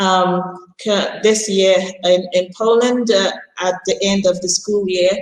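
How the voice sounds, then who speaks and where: Speaking very slowly in a flat, monotone delivery, a woman keeps to a medium pitch. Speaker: international school teacher. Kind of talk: prepared talk at an online panel. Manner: loud.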